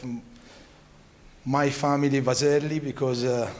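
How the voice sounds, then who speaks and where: The delivery is monotone and flat, with audible room echo. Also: man. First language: Italian. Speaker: family business owner. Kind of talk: speech. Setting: stage with audience. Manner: halting.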